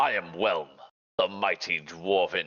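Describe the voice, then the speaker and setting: A put-on character voice from a man, fairly low-pitched and at a fairly slow pace. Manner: grand, mighty.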